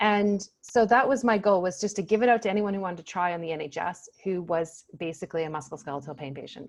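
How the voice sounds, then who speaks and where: Fairly quick speech in a North American accent, with ordinary pitch variation and a quiet background. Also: woman. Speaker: pain psychologist. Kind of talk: casual interview chat. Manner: animated.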